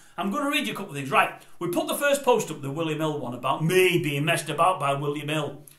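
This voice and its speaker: A man's fairly high voice at a very fast pace, with ordinary pitch variation, noticeable background noise and audible room echo. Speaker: vlogger. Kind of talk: casual monologue. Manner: quiet.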